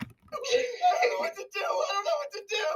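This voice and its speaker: A man shouts in a put-on character voice pitched extremely high. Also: moderate pace. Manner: frantic, pleading.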